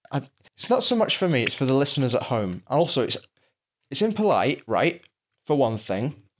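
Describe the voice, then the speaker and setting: A man with a Lancashire accent and a fairly high pitch talks at a fairly quick pace, with very wide pitch swings and long, frequent pauses. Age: 30s. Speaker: podcast co-host. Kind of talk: casual chat. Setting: in his own apartment.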